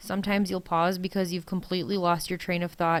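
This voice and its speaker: A woman speaks with a Wisconsin accent in a very clean recording with a silent background. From US Midwest, Wisconsin. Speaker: college instructor. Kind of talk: recorded lecture.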